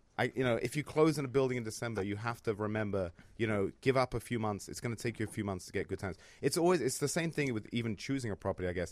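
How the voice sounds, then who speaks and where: Talking at a very fast pace, a man with a London accent has a medium pitch and ordinary pitch variation. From London, England. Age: 30s. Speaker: real estate investor, former trader. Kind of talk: casual chat.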